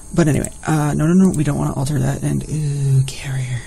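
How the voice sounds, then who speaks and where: A soft-spoken man against noticeable background noise. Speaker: gaming video creator. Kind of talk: let's play commentary. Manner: animated.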